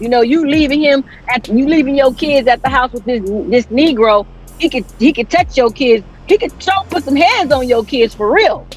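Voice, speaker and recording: Loud and animated in tone, a woman speaks at a high pitch with lively intonation. Her pace is moderate, and background noise is noticeable. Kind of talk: casual panel discussion.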